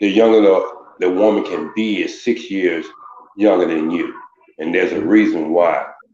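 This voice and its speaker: Amid audible room echo, a man speaks at a moderate pace. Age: 60s. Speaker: caller. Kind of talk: casual chat.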